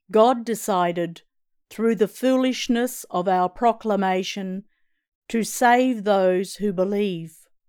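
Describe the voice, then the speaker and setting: In a very clean recording with a silent background, a woman talks at a very slow pace with ordinary pitch variation. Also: medium pitch for a woman. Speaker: lector reading scripture. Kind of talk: reading aloud.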